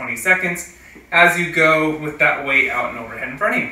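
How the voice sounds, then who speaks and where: Amid audible room echo, a man talks at a moderate pace with fairly even intonation. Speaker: fitness coach. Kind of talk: tutorial. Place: garage. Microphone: camera far.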